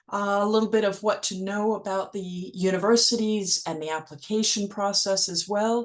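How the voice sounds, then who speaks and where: Using a normal speaking voice, a woman talks at a medium pitch and a moderate pace. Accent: American. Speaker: educational consultant. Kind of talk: webinar presentation.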